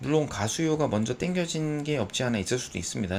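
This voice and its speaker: A man at a fairly quick pace. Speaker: stock market analyst. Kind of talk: market commentary. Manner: halting with filler sounds.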